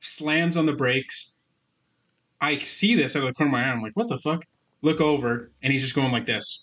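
Fairly quick delivery from a man with a Canadian accent, a bright, sharp tone, fairly high pitch and ordinary pitch variation. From Canada, Alberta. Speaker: podcast co-host. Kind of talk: casual chat.

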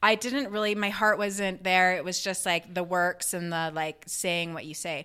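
On a very clean recording with a silent background, a woman with a medium pitch and a bright, sharp tone speaks at a moderate pace with hardly any pauses and fairly even intonation. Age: 40s. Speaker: podcast co-host. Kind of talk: casual chat.

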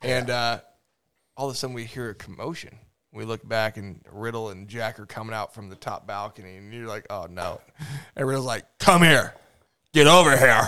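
A man speaks in an ordinary speaking voice at a fairly quick pace. His medium pitch shows ordinary pitch variation, with big swings in loudness. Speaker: podcast host. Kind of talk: casual chat. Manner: casual, joking.

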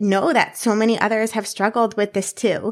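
A woman's fairly high voice on a very clean recording, silent background. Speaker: podcast host and fitness company founder. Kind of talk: solo podcast monologue. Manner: high energy, upbeat.

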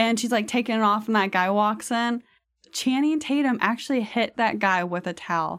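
A woman with an unremarkable speaking voice talks at a moderate pace in a fairly high pitch, her loudness very even and her pitch variation ordinary, on a very clean recording with a silent background. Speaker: guest. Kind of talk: casual chat. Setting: studio.

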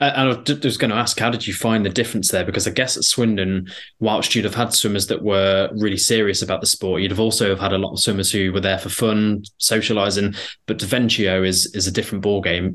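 With an East Midlands accent, a man speaks at a fairly quick pace in a fairly low pitch over a quiet background. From Derbyshire, England. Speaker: podcast host. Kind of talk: podcast interview.

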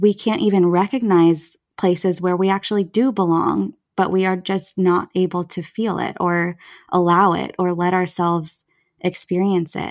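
A woman with a fairly low pitch talks in an unremarkable speaking voice and fairly even intonation. The recording is very clean, with a silent background. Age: 30s. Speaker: therapist. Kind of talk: casual chat.

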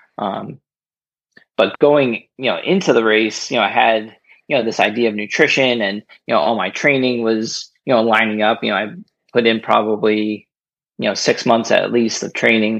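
This man has an unremarkable speaking voice, an American accent, fairly even intonation and a moderate pace. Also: medium pitch for a man. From New Jersey. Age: 30s. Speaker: kidney donor and runner. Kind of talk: casual interview. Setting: remote call.

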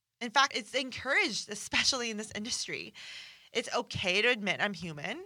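Fairly high in pitch, a woman speaks at a fairly quick pace with lively intonation. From Iran, then Canada. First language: Farsi. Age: 30s. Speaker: nutrition and fitness coach, podcast host. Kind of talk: casual monologue, podcast intro. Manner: upbeat, animated, humorous.

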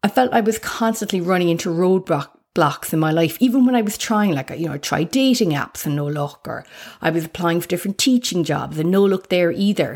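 Very clean, with a silent background, this recording has a fairly quick pace in an Irish accent. The tone is warm and upbeat, with lively intonation. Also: woman, fairly low pitch for a woman. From Ireland. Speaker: life coach and podcaster. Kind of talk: solo podcast monologue, personal intro. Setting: home recording. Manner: warm, upbeat, conversational.

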